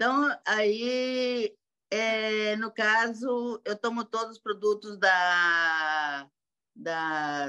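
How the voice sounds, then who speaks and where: With a bright, sharp tone and lively intonation, a woman speaks at a fairly high pitch. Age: 60s. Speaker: sales representative asking a question. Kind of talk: question in online training. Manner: halting.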